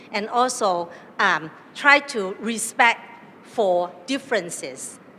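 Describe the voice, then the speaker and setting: Speaking with a Chinese accent, the voice has lively intonation. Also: woman. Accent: Chinese accent in English and Mandarin. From southern China, Cantonese. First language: Cantonese. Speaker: academic panelist. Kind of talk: panel talk. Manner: hesitant, many fillers.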